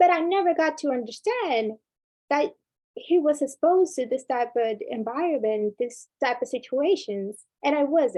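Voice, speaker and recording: With a non-native accent, a woman speaks at a moderate pace in a high voice whose pitch swings very widely. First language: not English. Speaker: workshop speaker, former student leader. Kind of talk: workshop talk.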